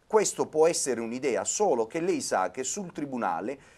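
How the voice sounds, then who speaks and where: A man's voice with vocal fry at a moderate pace. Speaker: city councillor. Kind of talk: debate discussion. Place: studio. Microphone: lapel.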